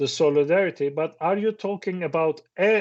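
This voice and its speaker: A man with a Turkish accent speaks at a fairly slow pace. His pitch variation is ordinary. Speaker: professor. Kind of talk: seminar talk. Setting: stage with audience. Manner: halting.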